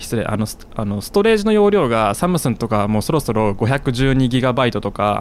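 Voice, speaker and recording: A man's medium-pitched voice moves at a moderate speed with lively intonation. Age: 20s. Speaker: podcast host and YouTuber. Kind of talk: casual chat.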